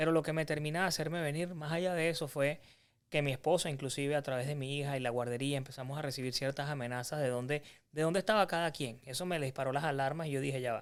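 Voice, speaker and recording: At a very fast pace, a man with a Venezuelan accent speaks in a fairly high pitch with fairly even intonation on a very clean recording with a silent background. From Venezuela (Carabobo). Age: 30s. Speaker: physician turned insurance agency owner, entrepreneur. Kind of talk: podcast interview.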